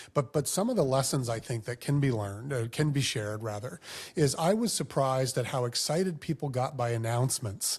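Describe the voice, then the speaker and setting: A somewhat breathy man's voice, medium in pitch with ordinary pitch variation, at a fairly quick pace in a very clean recording against a silent background. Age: 50s. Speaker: former mayor. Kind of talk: casual chat.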